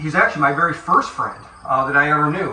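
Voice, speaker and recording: A man with a western New York accent talks very fast in a fairly high pitch, with audible room echo and noticeable background noise. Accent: Inland North American (western New York). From western New York, US. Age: 70s. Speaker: funeral director. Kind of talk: casual guided tour with reminiscing. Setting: walking through his childhood house and yard. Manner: conversational, halting with fillers.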